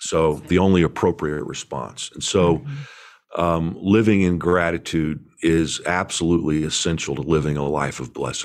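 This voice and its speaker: A man speaks with an American accent at a very deep, low pitch. His intonation is fairly even. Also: moderate pace. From Indiana, US Midwest. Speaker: pastor and author. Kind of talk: interview conversation. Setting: video call.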